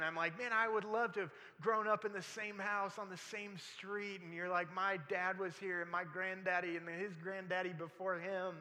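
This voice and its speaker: A man's high-pitched, raised, projected voice with ordinary pitch variation at a moderate pace, over noticeable background noise. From military family, moved around. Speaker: pastor. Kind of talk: sermon. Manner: halting, repeats words.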